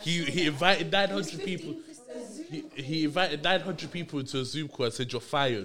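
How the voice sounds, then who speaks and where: A man's fairly high voice comes very fast, its pitch varying in an ordinary way. Noticeable background noise runs underneath. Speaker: podcast host. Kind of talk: casual podcast chat.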